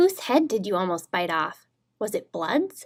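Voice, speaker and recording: A woman talks at a moderate pace in a put-on character voice. Her pitch sits in the middle range. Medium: read story. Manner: wry, teasing.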